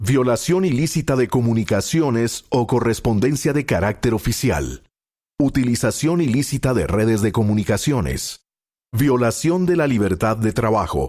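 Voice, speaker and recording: Lively intonation marks a man's medium-pitched voice, which carries vocal fry. He keeps a moderate pace and a very even loudness. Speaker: announcer. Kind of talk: institutional reading of legal text.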